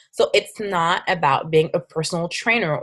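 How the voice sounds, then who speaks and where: At a moderate pace, a woman with a French accent speaks in an animated tone, her medium pitch showing ordinary variation. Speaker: fitness coach. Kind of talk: webinar presentation. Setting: online webinar with screen share. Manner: halting.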